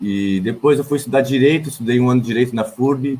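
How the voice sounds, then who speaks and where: Ordinary pitch variation and a moderate pace mark this man's speech. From Blumenau, Santa Catarina, southern Brazil. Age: 20s. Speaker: political candidate, sociology teacher and poet. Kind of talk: campaign self-introduction on a livestream. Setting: online livestream. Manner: hesitant, with repetitions and fillers.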